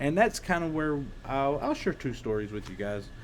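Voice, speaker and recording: A man with an Eastern Kentucky accent and ordinary pitch variation. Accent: Eastern Kentucky hillbilly. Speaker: former pro wrestler. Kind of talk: casual storytelling. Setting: workshop. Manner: hesitant, many fillers.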